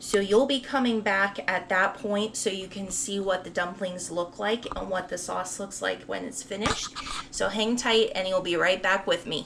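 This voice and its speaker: A woman speaks at medium pitch and a moderate pace, with hardly any pauses. Her intonation is fairly even, and background noise is noticeable. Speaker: home cooking video host. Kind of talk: cooking tutorial. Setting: home kitchen. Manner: casual, chatty.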